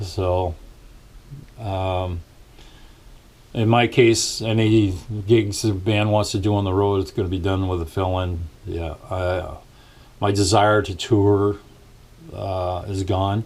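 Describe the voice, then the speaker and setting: A somewhat breathy, monotone, flat delivery at a very slow pace, with long, frequent pauses. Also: man, fairly low pitch for a man. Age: 60s. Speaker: musician and vlogger. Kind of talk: casual vlog rant. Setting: small home studio. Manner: hesitant, many fillers.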